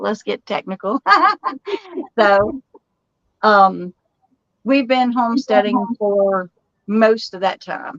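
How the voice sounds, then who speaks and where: A very slow, fairly high-pitched woman's voice in a Southern US accent, with long, frequent pauses, big swings in loudness, and a dry, close sound with no echo. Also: ordinary pitch variation. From Texas, Dallas. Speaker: homesteader and channel host. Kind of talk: casual live-stream chat. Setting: live stream.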